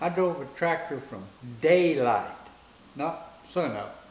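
The man speaks at a very slow pace in an American accent. Audible room echo surrounds his voice. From Texas Panhandle. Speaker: war veteran. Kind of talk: interview answer. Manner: folksy, hesitant storytelling. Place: home room.

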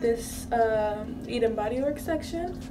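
A woman speaks at a very slow pace. Clear music plays in the background. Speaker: hair care vlogger. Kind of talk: tutorial. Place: bathroom. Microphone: phone near.

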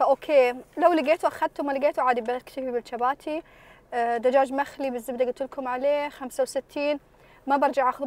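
A high-pitched woman's voice with fairly even intonation. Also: dry sound with no echo. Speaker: food vlogger. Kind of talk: casual vlog chat. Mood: relaxed, pleased. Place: car. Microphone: phone near.

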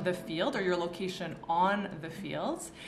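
A woman speaks with clear music in the background. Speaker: aviation vlogger. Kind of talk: tutorial. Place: home room.

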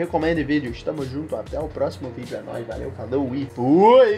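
A man at a fairly quick pace over faint music in the background. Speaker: youtuber. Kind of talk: casual vlog chat. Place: home room.

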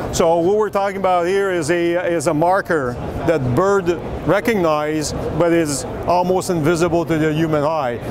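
Speaking at a moderate pace, a man with a high pitch keeps his intonation fairly even and his loudness very even over noticeable background noise. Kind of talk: interview answer. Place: hall. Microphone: lapel.

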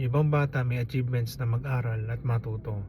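Speaking at a fairly quick pace, the voice sounds somewhat breathy and keeps its intonation fairly even. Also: man. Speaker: vlogger. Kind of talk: casual commentary monologue.

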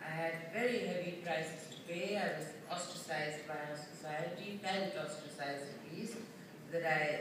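Strong room echo and noticeable background noise surround a man whose intonation stays fairly even. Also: moderate pace. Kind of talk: acceptance speech. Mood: grateful, earnest. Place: hall. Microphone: pa.

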